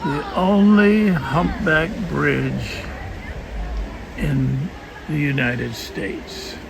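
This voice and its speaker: Amid crowd noise and audible room echo, a man speaks at a very slow pace with long, frequent pauses. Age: 80s+. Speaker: travel vlogger. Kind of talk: casual travel vlog narration. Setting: outdoors.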